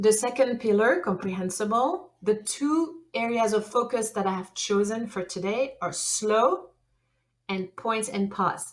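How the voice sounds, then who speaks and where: Speaking with a French accent, a woman uses a fairly high pitch, ordinary pitch variation and a fairly slow pace. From France. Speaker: language teacher. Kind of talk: conference presentation. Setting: online conference session.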